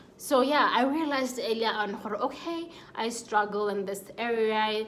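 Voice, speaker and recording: With noticeable background noise behind her, a woman with a fairly high pitch speaks using ordinary pitch variation. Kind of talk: casual talk to camera. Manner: stutters.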